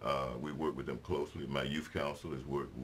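A man with a very deep, low pitch and an American accent talks at a fairly quick pace over light background noise. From US South, Mississippi. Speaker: city mayor. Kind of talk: interview. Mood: warm, relaxed. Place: studio.

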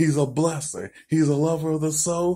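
A man talks in a dark, mellow tone with little sound behind him. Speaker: preacher. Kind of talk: spoken prayer. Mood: warm, joyful. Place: home room. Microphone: phone near.

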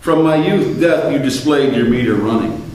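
A man's medium-pitched, slightly mellow voice at a moderate pace, lively in intonation, with strong room echo.

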